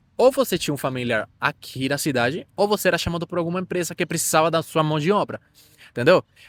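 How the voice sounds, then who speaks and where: On a very clean recording with a silent background and a dry, close sound free of echo, a man speaks with a Spanish accent and ordinary pitch variation. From Venezuela. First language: Spanish (speaking Portuguese). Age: 20s. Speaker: immigrant interviewee. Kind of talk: interview. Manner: halting.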